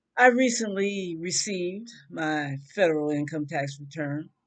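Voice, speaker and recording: A woman speaks with an American accent at a very slow pace. Her intonation is lively. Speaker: vlogger. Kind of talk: rant. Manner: loud; animated.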